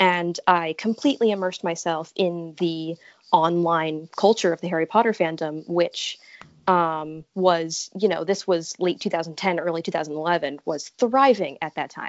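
At a moderate pace, a woman with an American accent and fairly low pitch speaks with ordinary pitch variation in an ordinary speaking voice. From Connecticut. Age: 20s. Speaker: college student, podcast guest. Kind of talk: casual interview.

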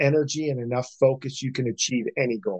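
A man with an American accent speaks in a normal speaking voice. His fairly high pitch shows ordinary pitch variation. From Pennsylvania, small town. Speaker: entrepreneur and self-help author. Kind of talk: interview, life story.

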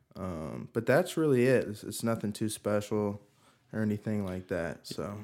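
A man speaks in a plain, everyday voice at a moderate pace. His pitch is fairly low, and his intonation lively. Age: 20s. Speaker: pool service worker. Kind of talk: casual chat.

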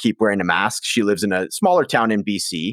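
At a fairly quick pace, a man with a fairly low voice speaks on a very clean recording with a silent background and a dry, close sound with no echo. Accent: western Canadian. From Prince George, northern British Columbia, Canada. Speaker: addiction recovery guest, musician. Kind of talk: casual interview, personal testimony.

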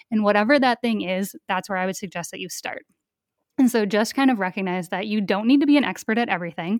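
Speaking very fast in an American accent, a woman at medium pitch uses ordinary pitch variation, recorded very cleanly with a silent background and a dry, close sound with no echo. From rural Minnesota. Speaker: online shop owner and educator. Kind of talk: podcast interview.

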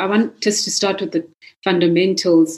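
A plain, everyday voice from a woman, medium in pitch, at a fairly quick pace. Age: young. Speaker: discussion series convenor. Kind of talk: moderated panel discussion.

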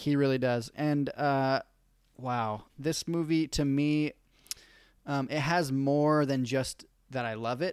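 A man with a plain, everyday voice talks at medium pitch with fairly even intonation. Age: 20s. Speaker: podcast host. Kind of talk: casual chat.

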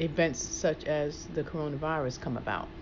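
A woman speaks with a very deep, low pitch at a fairly slow pace. There is audible room echo. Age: 50s. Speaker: personal trainer and fitness show host. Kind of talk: casual chat.

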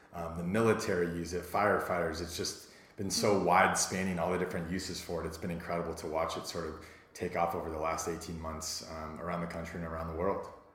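A man's very deep, low voice rushes along at a very fast clip, with noticeable background noise behind him. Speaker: entrepreneur. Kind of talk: casual interview. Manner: fast talker; passionate, excitable.

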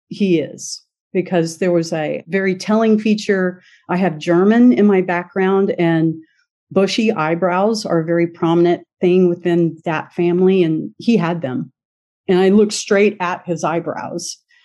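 With a dark, mellow tone and an American accent, the speaker goes at a fairly slow pace with ordinary pitch variation over a quiet background. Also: woman, medium pitch for a woman. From US. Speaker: adoptee and author. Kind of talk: interview.

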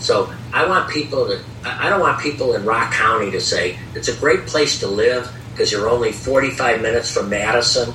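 Noticeable background noise sits behind the voice. A man with an American accent talks at a moderate pace. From US Midwest, Chicago area. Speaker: baseball team owner. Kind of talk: interview.

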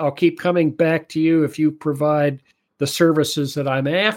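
A man with an American accent at a moderate pace and fairly even intonation, on a very clean recording with a silent background. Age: 70s. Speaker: economist and author. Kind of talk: interview.

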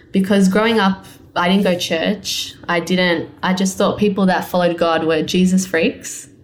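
At a moderate pace, a woman with an Australian accent speaks at a medium pitch in a monotone, flat intonation with very even loudness. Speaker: clothing line owner and designer. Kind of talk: casual interview.

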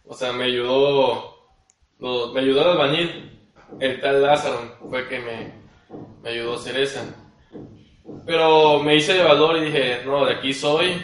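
A man at a fairly slow pace, fairly even intonation, long, frequent pauses, and audible room echo. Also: fairly high pitch for a man, big swings in loudness. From Mexico, Tabasco (Cárdenas). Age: 20s. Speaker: architect. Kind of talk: casual interview.

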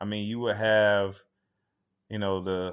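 Speaking with an American accent at a moderate pace, a man uses a normal speaking voice pitched fairly low. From Tampa, Florida. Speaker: firefighter. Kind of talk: casual interview.

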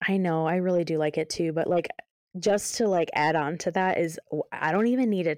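Fairly quick in pace, a woman speaks in an unremarkable speaking voice at a fairly low pitch with ordinary pitch variation. The sound is dry and close with no echo, and the background is quiet. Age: 20s. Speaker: podcast co-host. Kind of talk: casual chat.

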